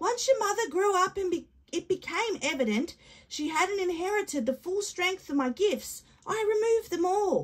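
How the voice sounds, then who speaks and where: A woman's put-on character voice, extremely high-pitched, at a moderate pace. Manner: warm, patient, matter-of-fact.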